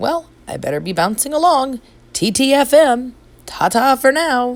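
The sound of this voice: A woman uses a put-on character voice at a high pitch with big pitch swings. She speaks at a fairly slow pace.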